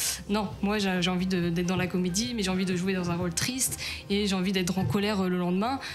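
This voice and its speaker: A woman talks at a very fast pace with a medium pitch. Noticeable background noise and audible room echo fill the recording. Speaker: stage actress. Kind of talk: radio interview. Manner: hesitant, many fillers.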